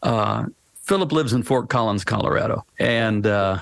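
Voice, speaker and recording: Medium pitch from a male speaker, moderate speed, pitch moving in an ordinary way. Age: 60s. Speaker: pastor and author. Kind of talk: casual chat. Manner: halting, many repeated words.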